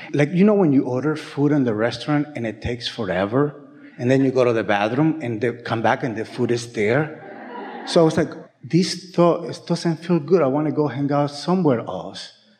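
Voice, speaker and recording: Speaking at a moderate pace with a non-native accent, a man uses a fairly high pitch and lively intonation over noticeable background noise. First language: not English. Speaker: workshop participant. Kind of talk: casual chat. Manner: halting.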